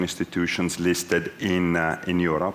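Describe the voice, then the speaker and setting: A man with an Italian accent, with audible room echo. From Italy. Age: 40s. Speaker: business executive. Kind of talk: onstage interview.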